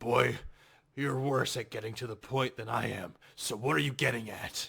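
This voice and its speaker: A man uses a raspy, put-on character voice at medium pitch, moving at a moderate pace with ordinary pitch variation. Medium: audio drama.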